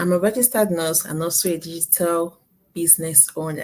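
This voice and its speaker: A woman with a Nigerian accent speaks at a fairly low pitch. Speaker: nurse and online business owner. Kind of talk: live interview. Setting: live video stream.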